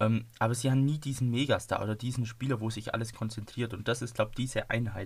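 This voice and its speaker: Somewhat breathy and medium in pitch, a man talks at a fairly quick pace in a monotone, flat intonation, on a very clean recording with a silent background. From Donau-Ries, Bavaria. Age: 20s. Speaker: football podcaster. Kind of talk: casual chat.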